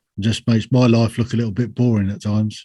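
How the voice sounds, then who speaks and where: Speaking with a strong British accent, a man keeps a medium pitch in a monotone, flat intonation. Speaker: army veteran and podcaster. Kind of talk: podcast interview. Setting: remote call from home.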